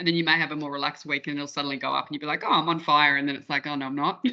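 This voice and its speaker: The speaker has an Australian accent, heard over a quiet background. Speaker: breathwork workshop facilitator. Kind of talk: online workshop discussion. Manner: fast.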